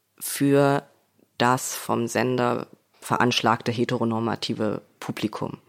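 A man at a medium pitch with monotone, flat intonation. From Leipzig, Saxony, eastern Germany. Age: young. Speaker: screenwriter. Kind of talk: interview.

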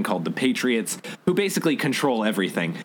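Over noticeable background noise, someone talks at a very fast pace with lively intonation. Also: man. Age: 20s. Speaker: podcast co-host. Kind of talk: casual chat.

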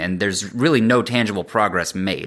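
Recorded very cleanly against a silent background, a man talks in a bright, sharp tone with ordinary pitch variation. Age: 30s. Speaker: worship and youth ministry leader. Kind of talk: casual interview.

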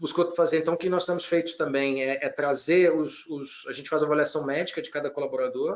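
This man has a plain, everyday voice. He speaks fairly quickly at a fairly high pitch with fairly even intonation. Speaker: business executive. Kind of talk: interview.

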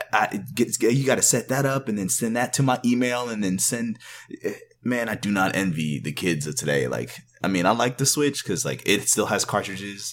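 A man talks at a moderate pace with lively intonation. His fairly low voice carries vocal fry. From Canada, Jamaican parents; raised in Texas. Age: 20s. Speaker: podcast guest, parent gamer. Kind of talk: casual chat.

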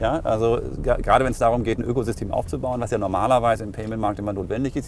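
Very fast pace from a man with fairly low pitch, noticeable background noise behind him. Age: 40s. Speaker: payments company executive. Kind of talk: interview.

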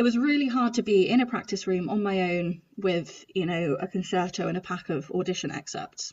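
Fairly quick and with hardly any pauses, a woman talks in a somewhat breathy voice with lively intonation. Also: medium pitch for a woman. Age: 30s. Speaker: trombonist and podcast host. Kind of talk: casual interview chat.

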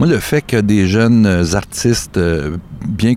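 A man's pitch shifts in an ordinary way as noticeable background noise continues. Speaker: charity co-founder. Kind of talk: interview.

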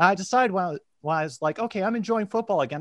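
Heard in a very clean recording with a silent background, the voice carries an American accent and very wide pitch swings. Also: man. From US, Washington DC area. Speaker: football fan guest. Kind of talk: casual chat.

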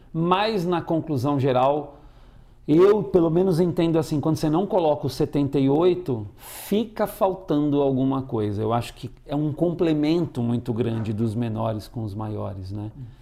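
This is a plain, everyday voice with lively intonation. It moves at a fairly slow pace. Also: man, fairly high pitch for a man. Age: 50s. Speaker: actor and tarot reader. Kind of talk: interview.

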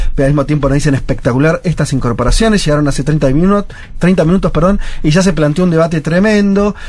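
Noticeable background noise sits under a man's voice. His fairly high pitch rides on lively intonation. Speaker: radio host. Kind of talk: casual chat.

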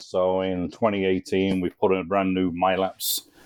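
This man's voice sits at a very deep, low pitch. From English Midlands. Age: 50s. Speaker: race track operator. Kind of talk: podcast interview.

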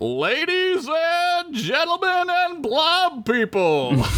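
Using a put-on character voice, a man speaks very slowly at an extremely high pitch.

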